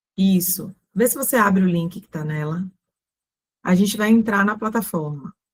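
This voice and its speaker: A somewhat breathy woman's voice at a medium pitch, with long, frequent pauses. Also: ordinary pitch variation, moderate pace. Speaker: ESG consultant and course instructor. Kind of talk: online mini-course presentation.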